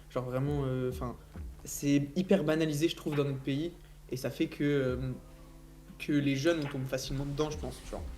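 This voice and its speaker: Over background music and audible room echo, a man talks at a moderate pace in a fairly high pitch with fairly even intonation and long, frequent pauses. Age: 20s. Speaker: founder of a CBD brand. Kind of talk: casual debate.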